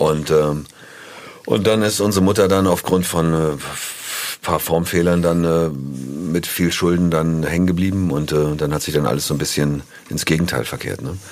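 Over noticeable background noise, a man speaks at a moderate pace in a very deep, low pitch with ordinary pitch variation. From northern Germany, near Hanover. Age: 50s. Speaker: musician. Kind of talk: casual interview.

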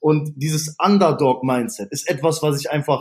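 A man with a plain, everyday voice and a fairly high pitch talks at a moderate pace. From Ruhr area, Essen (Germany). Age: 30s. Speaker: fitness studio manager. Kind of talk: interview.

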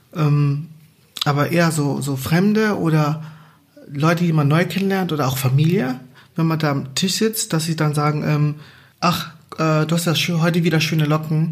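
A man's fairly high-pitched voice in a room with audible echo, at a moderate pace with long, frequent pauses, very even loudness and fairly even intonation. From Angola. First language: Portuguese (speaking German). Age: 30s. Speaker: podcast co-host. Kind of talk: casual chat.

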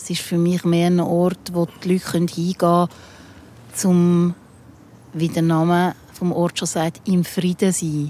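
A woman speaks fairly slowly in a fairly low, monotone, flat voice. Long pauses come often. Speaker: rock musician. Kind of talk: casual chat. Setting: outdoors.

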